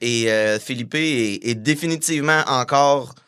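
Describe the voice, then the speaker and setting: The very clean recording with a silent background captures a man's bright, sharp tone at a medium pitch with ordinary pitch variation. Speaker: punk musician. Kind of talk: casual interview.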